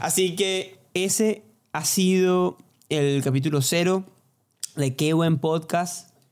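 At a very slow pace, a man talks at a high pitch with fairly even intonation and very even loudness. Long pauses come often. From Venezuela, Barquisimeto. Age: 20s. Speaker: podcast co-host, singer-songwriter. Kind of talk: casual chat.

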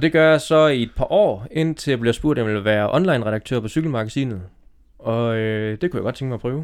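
With a normal speaking voice, this man talks at a fairly quick pace, his medium pitch showing ordinary variation. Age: 30s. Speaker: cycling magazine editor. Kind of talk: casual chat. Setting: outdoors.

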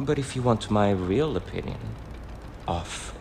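Over background music, a man's intonation rises and falls in a lively way. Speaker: fictional character actor. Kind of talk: dramatic character monologue, theatrical. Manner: arch, gossipy, camp; animated, sassy, playful.

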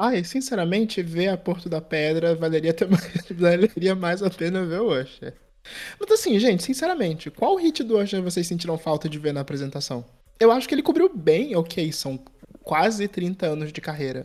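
A man's high voice rises and falls in a lively way. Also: moderate pace. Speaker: podcast host. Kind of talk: casual chat.

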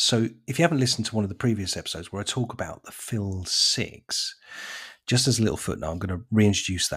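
A man's somewhat breathy voice at a fairly quick pace, with ordinary pitch variation, in a very clean recording over a silent background. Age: 50s. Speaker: lawn care business owner. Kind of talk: casual monologue.

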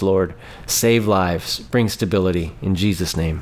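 There is noticeable background noise behind this man. He has a fairly low pitch and an American accent. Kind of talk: fervent intercessory prayer, petitioning God for Afghanistan's believers. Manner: earnest, repetitive 'Lord... Father...' cadence, pleading tone; halting with frequent fillers and repeated words.

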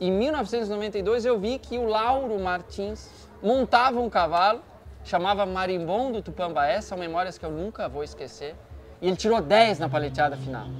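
The man's voice sits high, and his intonation is lively. He keeps a moderate tempo. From Santa Catarina, Brazil, small town. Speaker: lawyer, horse owner and rider. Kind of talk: interview conversation.

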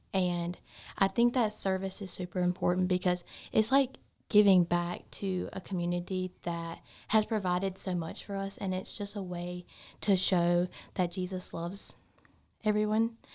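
A dark, mellow tone with a Southern US accent, fairly even intonation and a moderate pace on a very clean recording with a silent background. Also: woman, medium pitch for a woman. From South Carolina. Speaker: biomedical science student. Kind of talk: casual interview.

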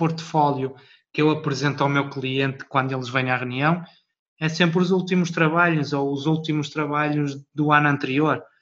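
The man talks at a moderate pace with monotone, flat intonation. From Portugal. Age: 30s. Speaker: wedding videographer. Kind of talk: interview.

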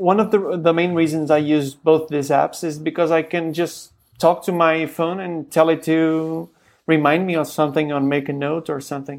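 The recording is very clean, with a silent background. The talking proceeds at a moderate pace. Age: 30s. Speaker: podcast host. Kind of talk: casual chat.

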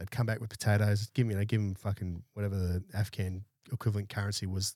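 A man with an Australian accent talks very fast in a somewhat breathy, fairly low voice. His intonation stays fairly even, and the sound is dry and close with no echo. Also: very clean recording, silent background. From Brisbane, Australia. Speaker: army veteran and security business owner. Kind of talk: casual interview chat. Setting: studio.

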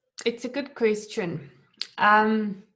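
Fairly high in pitch, a woman with a non-native accent speaks at a fairly slow pace. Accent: foreign-accented English. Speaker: digital artist and YouTube creator. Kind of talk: casual interview chat. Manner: hesitant, with fillers and restarts.

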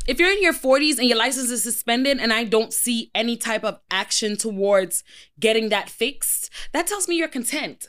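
This is an ordinary speaking voice at a moderate pace. The intonation is lively. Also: woman, fairly high pitch for a woman. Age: 30s. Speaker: podcast host. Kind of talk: casual chat. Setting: studio.

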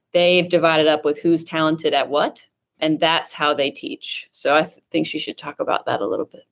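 Here is a woman with a plain, everyday voice and fairly low pitch. She speaks at a moderate pace on a very clean recording with a silent background. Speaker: school district innovation director. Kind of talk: casual interview.

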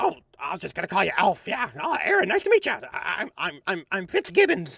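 A man doing a put-on character voice, high-pitched and fairly quick. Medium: actual play. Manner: stammering, halting, repeats words.

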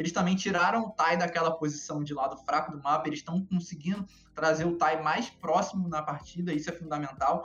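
Music plays in the background as a man with a high pitch talks at a fairly quick pace, using fairly even intonation and hardly any pauses. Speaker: esports analyst. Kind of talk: casual chat. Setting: live stream.

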